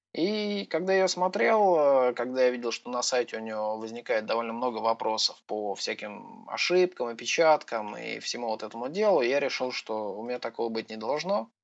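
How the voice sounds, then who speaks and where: A man with an ordinary speaking voice talks at medium pitch and a moderate pace. His intonation is lively, with hardly any pauses. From Russia, Voronezh. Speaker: software developer. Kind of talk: casual interview.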